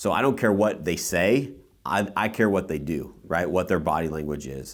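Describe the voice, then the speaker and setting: In a very deep, low pitch with vocal fry, a man talks at a moderate pace with lively intonation and an animated tone. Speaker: podcast host and real estate team leader. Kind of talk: casual podcast chat.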